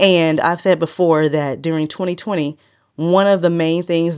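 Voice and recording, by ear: A woman's low-pitched, clear, smooth voice at a moderate pace with fairly even intonation.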